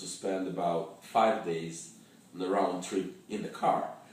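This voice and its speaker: A man's very deep, low voice at a moderate pace, with audible room echo and noticeable background noise. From Russia. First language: Russian. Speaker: travel fixer and storyteller. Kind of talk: personal travel story. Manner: halting, with many fillers and repetitions.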